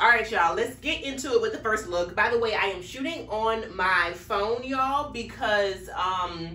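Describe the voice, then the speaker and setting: In a room with audible echo, a woman speaks at a moderate pace with hardly any pauses. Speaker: fashion vlogger. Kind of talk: casual vlog chat. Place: home room. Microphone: camera far.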